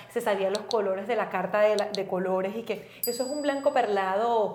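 With ordinary pitch variation and a fairly quick pace, this is a plain, everyday voice. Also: woman. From Venezuela, raised in Valencia. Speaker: podcast co-host. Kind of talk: casual chat.

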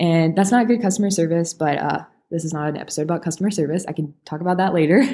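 Talking at a very fast pace, a woman has a fairly low pitch and a dark, mellow tone. Her pitch variation is ordinary. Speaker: podcast host. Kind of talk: casual solo talk to listeners. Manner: conversational, aiming for a down-to-earth tone.

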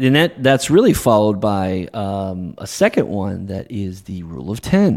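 A man's fairly low voice with lively intonation, a moderate pace, hardly any pauses and big swings in loudness, on a very clean recording with a silent background. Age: 40s. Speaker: wealth manager. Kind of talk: casual chat. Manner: halting.

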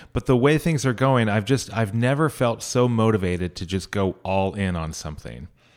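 On a very clean recording with a silent background, a man with a Californian accent speaks at a moderate pace and fairly low pitch, with lively intonation and hardly any pauses. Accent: Californian American. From northern California, Sierra Nevada foothills. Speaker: mayoral candidate and conflict resolution mediator. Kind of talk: interview.

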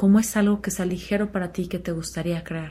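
A woman speaks in a monotone, flat way at a moderate pace. Her fairly low voice has a dark, mellow tone and is somewhat breathy. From Mexico, Chihuahua. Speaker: podcast host. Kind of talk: solo reflective talk. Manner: casual, with filler words.

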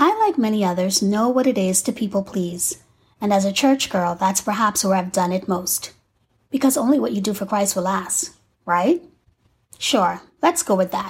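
A somewhat breathy woman at medium pitch uses lively intonation at a fairly slow pace with long, frequent pauses, on a very clean recording with a silent background. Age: 40s. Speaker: faith-based podcaster. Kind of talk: scripted monologue.

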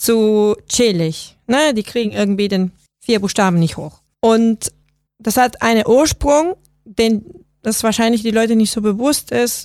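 Spoken at a fairly slow pace with ordinary pitch variation and a Spanish accent, this voice has music playing in the background. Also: woman. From Venezuela. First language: Spanish (speaking German). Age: 30s. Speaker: software designer. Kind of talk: interview.

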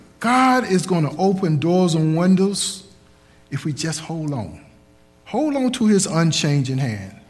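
Over noticeable background noise, a man talks at a fairly slow pace in a high voice that swings very widely in pitch. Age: 60s. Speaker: preacher. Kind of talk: sermon. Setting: church.

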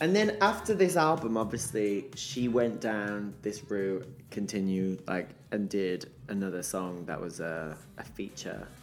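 With audible room echo, a man speaks fairly slowly at a fairly low pitch, his intonation lively. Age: 30s. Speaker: singer-songwriter. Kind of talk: casual chat.

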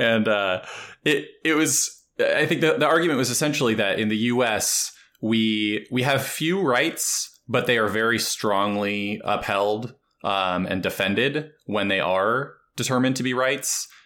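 On a very clean recording with a silent background, a man with a normal speaking voice talks at a medium pitch and a fairly slow pace, with ordinary pitch variation and very even loudness. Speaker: podcast host. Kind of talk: interview podcast.

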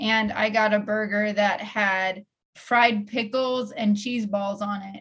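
A plain, everyday voice from a fairly high-pitched woman, fairly slow in pace, with fairly even intonation. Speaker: podcast host. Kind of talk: casual chat. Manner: playful, bantering.

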